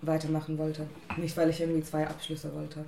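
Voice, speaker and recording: Noticeable background noise and audible room echo around a woman's fairly low-pitched voice. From India. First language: an Indian language (speaking German). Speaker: international student. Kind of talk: casual chat.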